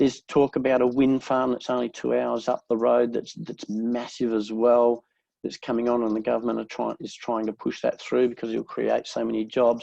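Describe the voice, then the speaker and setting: A man with an Australian accent at a moderate pace, hardly any pauses. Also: dry, close sound with no echo. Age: 60s. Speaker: real estate agent. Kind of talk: interview.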